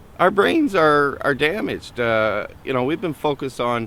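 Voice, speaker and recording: A man is talking. The pitch of his voice swings very widely. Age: 40s. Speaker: homeless man in recovery. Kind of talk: documentary interview. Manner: halting, many fillers and repetitions.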